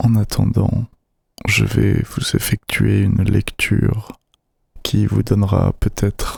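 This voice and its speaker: A soft-spoken man whispering at a very slow pace. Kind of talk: casual talk to camera. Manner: whispered, soft-spoken.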